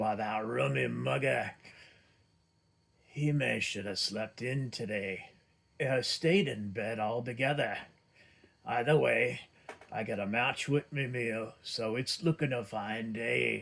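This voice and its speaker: Putting on a character voice, a man sounds raspy, rumbling and gruff at a medium pitch, with ordinary pitch variation and a fairly slow pace. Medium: read story. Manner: gruff, grumbling.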